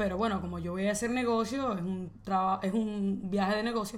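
With an animated tone and a fairly quick pace, a woman speaks with ordinary pitch variation over audible room echo. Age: 20s. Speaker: podcast co-host. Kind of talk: casual chat.

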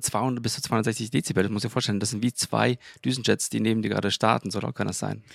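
Vocal fry at a fairly quick pace with fairly even intonation, in a dry, close sound with no echo on a very clean recording over a silent background. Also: man. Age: 30s. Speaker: engineer and church co-founder. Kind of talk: casual chat. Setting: balcony of apartment.

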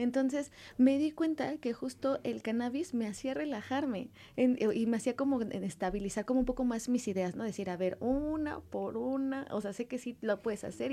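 At a moderate pace, the voice has a dark, mellow tone and lively intonation. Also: woman. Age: 30s. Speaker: cosmetics entrepreneur. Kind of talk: casual interview. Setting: radio studio.

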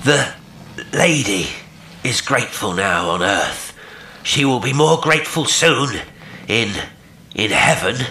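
A put-on character voice, guttural and solemn, moves at a fairly slow pace with very wide pitch swings and long, frequent pauses. Clear background noise runs underneath. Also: man, medium pitch for a man. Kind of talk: horror story reading. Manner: hopeless, pathetic, solemn.

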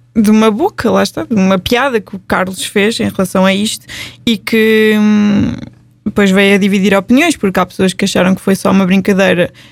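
A woman speaks in an unremarkable speaking voice at medium pitch and a moderate pace. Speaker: podcast host. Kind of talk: casual chat.

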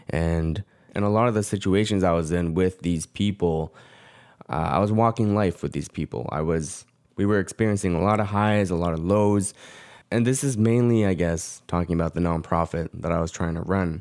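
A man's very deep, low voice with a Canadian accent, at a moderate pace with ordinary pitch variation, on a very clean recording with a silent background. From Canada, Korean Canadian. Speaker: vlogger and freelance videographer. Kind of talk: personal vlog monologue. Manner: reflective, hesitant with fillers.

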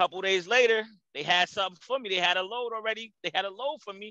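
A man with an American accent raises and projects his high-pitched voice, bright and sharp in tone, at a fairly quick pace. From New Jersey, Jersey City. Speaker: truck driver and owner-operator. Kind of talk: casual interview.

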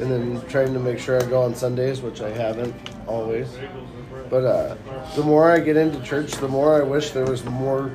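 Speaking at a moderate pace, a man with a medium-pitched voice talks in a flat monotone against noticeable background noise. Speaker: men's group member. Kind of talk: casual chat. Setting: coffee shop.

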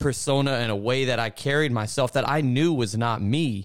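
Very clean and recorded against a silent background, a man's plain, everyday voice comes at medium pitch and a moderate pace. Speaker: co-host, church member. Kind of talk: casual religious discussion.

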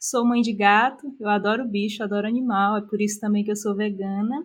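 A woman talks with hardly any pauses in a somewhat breathy, fairly high voice with fairly even intonation. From Brazil, interior of Piauí. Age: 20s. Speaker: business analyst. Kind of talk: interview.

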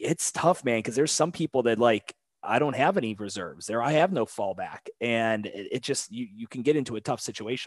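A man with a plain, everyday voice speaks at a medium pitch and a fairly quick pace with lively intonation, the sound dry and close with no echo against a quiet background. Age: 30s. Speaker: podcast host and gym owner. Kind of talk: casual chat. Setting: remote call.

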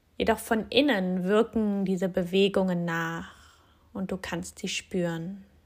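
On a very clean recording with a silent background, a woman speaks in a normal speaking voice at a medium pitch. Her pace is fairly slow and her intonation fairly even. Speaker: yoga teacher and physiotherapist. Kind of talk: guided meditation. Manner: slow, soft, calm and soothing with long pauses; gentle, inviting, addressing listener as du.

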